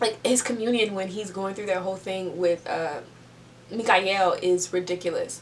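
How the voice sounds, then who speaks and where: A woman at a moderate pace and medium pitch, fairly even intonation, noticeable background noise. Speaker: book reviewer. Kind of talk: casual video review.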